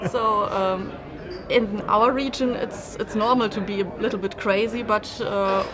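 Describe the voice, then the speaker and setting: A woman speaks slowly-ish at a fairly slow pace, her fairly high pitch kept in a fairly even intonation. Noticeable background noise and audible room echo surround her. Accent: German. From Germany. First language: German. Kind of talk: casual interview.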